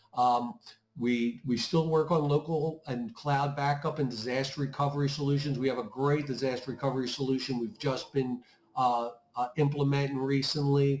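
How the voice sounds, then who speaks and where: A man speaks in a normal speaking voice at a fairly high pitch. His pace is moderate and his intonation fairly even. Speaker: IT services manager. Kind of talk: webinar presentation.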